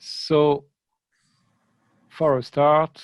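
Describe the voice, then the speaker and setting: A man with a French accent, in a dry, close sound with no echo. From France. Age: 50s. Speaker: comics critic and journalist. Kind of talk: online lecture. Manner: halting with many fillers.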